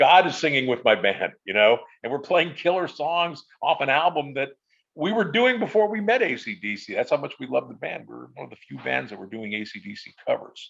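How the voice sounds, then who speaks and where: Fairly high in pitch and full of vocal fry, a man talks at a fairly quick pace with very wide pitch swings and big swings in loudness. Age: 60s. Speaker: musician, friend of a late rock singer. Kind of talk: casual chat. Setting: live stream roundtable.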